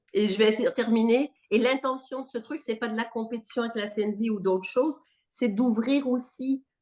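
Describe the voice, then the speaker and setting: Animated in tone, a woman talks at a moderate pace with a fairly high pitch and ordinary pitch variation. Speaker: non-violence trainer. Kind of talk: workshop discussion. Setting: video call.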